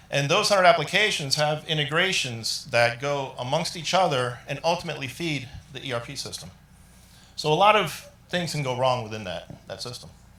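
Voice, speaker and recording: A man at a fairly quick clip, loudness swinging widely, in a room with audible echo. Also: fairly high pitch for a man. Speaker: IT business leader presenting at a tech summit. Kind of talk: conference presentation.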